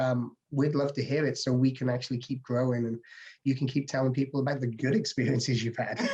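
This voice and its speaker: A man with an English accent, a medium pitch and a dark, mellow, somewhat breathy tone, talking at a very fast pace with fairly even intonation. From England, English/Welsh border. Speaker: home inspector. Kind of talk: interview answer.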